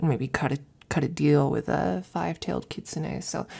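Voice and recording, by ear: In a put-on character voice, the speaker has a dark, mellow tone with a slightly husky edge and vocal fry, ordinary pitch variation and a moderate pace. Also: woman, low pitch for a woman.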